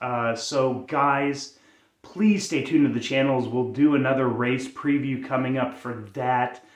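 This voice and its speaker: A man speaks in an American accent at a fairly slow pace, his pitch medium and his intonation fairly even. Room echo is audible. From United States. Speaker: sports YouTuber. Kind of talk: casual vlog commentary. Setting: home at night. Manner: quieter than usual, subdued.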